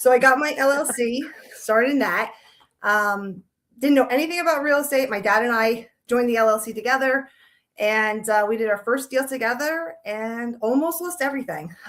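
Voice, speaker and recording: A woman speaks at a moderate pace in a strong Long Island accent. Her voice is high, with ordinary pitch variation. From New York, Long Island. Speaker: realtor. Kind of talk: casual interview.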